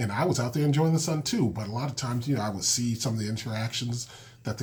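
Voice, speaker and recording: With an American accent, a man talks in a somewhat breathy voice with ordinary pitch variation. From Massachusetts, Springfield. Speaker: podcast host, school counselor and children's author. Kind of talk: podcast monologue. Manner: casual with many fillers.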